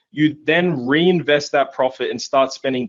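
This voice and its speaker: A man talks in an enthusiastic tone with ordinary pitch variation. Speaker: online marketing coach. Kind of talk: webinar sales pitch. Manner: fast.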